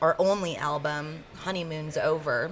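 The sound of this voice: Her voice is low-pitched with a fairly bright tone. The woman keeps her intonation fairly even.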